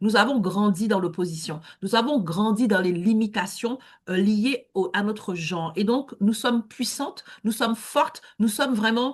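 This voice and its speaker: Somewhat breathy, this woman's voice sits at a fairly high pitch. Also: ordinary pitch variation, fairly slow pace. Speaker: networking event host. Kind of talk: online networking event hosting. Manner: hesitant with many fillers.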